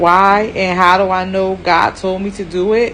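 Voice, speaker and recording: A woman speaks over noticeable background noise. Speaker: spiritual speaker giving a talk. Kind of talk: casual, conversational. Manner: stutters, speech impediment.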